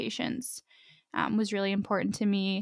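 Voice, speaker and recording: In a plain, everyday voice, a woman with an American accent speaks fairly quickly at a medium pitch, on a very clean recording with a silent background. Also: dry, close sound with no echo. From Pittsburgh, Pennsylvania. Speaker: dental resident. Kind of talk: interview.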